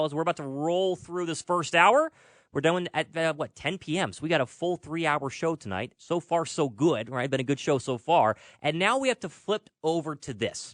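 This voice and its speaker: Here is an unremarkable speaking voice from a man, fairly high in pitch with lively intonation at a moderate pace. The background is quiet, and the sound is dry and close with no echo. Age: young. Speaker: sports radio host. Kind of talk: sports talk radio show. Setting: studio.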